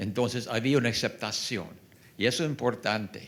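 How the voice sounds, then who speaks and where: A man of medium pitch speaks with an English accent. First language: English (speaking Spanish). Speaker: public health program designer. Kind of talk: panel discussion. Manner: halting, hesitant.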